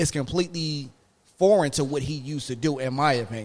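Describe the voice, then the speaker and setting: In a very clean recording with a silent background, a man with a fairly high pitch talks in an animated tone at a moderate pace. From Philadelphia, US. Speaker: podcast co-host. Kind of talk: casual chat.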